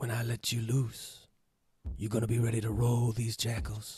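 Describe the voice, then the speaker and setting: Quiet and raspy, a man uses a put-on character voice at medium pitch and a moderate pace, with monotone, flat intonation. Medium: stage play. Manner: quiet, terse, deadpan.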